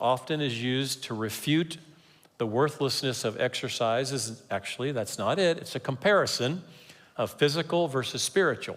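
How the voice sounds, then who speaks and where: A man with a normal speaking voice talks at a medium pitch and a moderate pace, his pitch varying in an ordinary way. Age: 60s. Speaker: pastor. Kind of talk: sermon.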